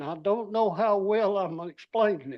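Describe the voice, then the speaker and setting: The speaker has a Southern US accent. The pace is very slow. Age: 80s+. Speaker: resident speaking at public hearing. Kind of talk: public comment at council meeting. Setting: city council meeting. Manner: halting.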